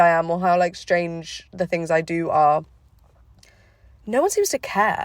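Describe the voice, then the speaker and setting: Her medium-pitched voice has lively intonation, and the recording is very clean with a silent background. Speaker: podcaster. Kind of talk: casual monologue. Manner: fast; hesitant, many fillers.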